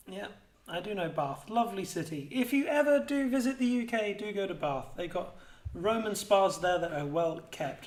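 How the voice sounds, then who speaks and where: This man talks at a moderate pace with lively intonation and an English accent. Some room echo can be heard. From England. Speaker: esports caster. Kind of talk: live commentary.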